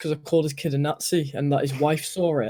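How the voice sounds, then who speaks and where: A man speaks at a fairly quick pace. His pitch is fairly high and his intonation fairly even. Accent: British. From UK. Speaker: stream guest. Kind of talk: casual chat.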